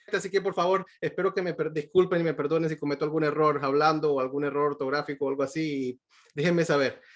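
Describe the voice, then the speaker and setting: Talking at a very fast pace, a man uses a fairly high pitch with fairly even intonation. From Venezuela. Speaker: pediatric cardiologist. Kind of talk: lecture. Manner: halting, many fillers and repetitions.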